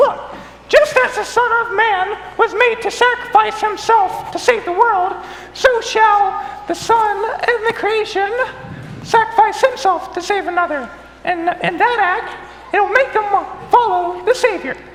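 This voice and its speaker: A squeaky, extremely high put-on character voice moves at a moderate pace with long, frequent pauses, amid clear background noise and clear echo. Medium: stage play. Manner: flustered, eager.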